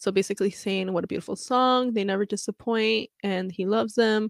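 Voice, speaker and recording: Speaking at a moderate pace, a woman has a plain, everyday voice with fairly even intonation, captured dry and close with no echo in a very clean recording with a silent background. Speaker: fan podcast host. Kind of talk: casual solo podcast reading fan comments. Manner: casual, frequent laughs and fillers.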